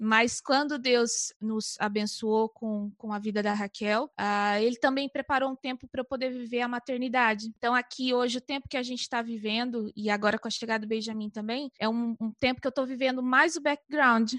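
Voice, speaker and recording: A woman with a Brazilian accent speaks at a high pitch and a moderate pace, with fairly even intonation and hardly any pauses. The sound is dry and close with no echo, against a quiet background. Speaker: missionary. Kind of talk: casual chat.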